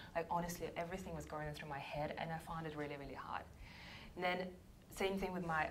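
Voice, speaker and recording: A woman's fairly low voice at a very fast pace, monotone and flat, with audible room echo. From Russia. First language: Russian. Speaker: sales coach. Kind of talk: workshop talk.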